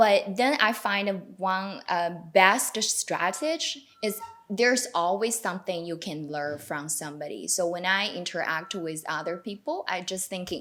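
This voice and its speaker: Over noticeable background noise, a woman speaks with a Chinese accent at a fairly slow pace. Her pitch is medium, with ordinary variation. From China. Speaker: newcomer to Canada. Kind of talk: panel discussion. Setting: video call.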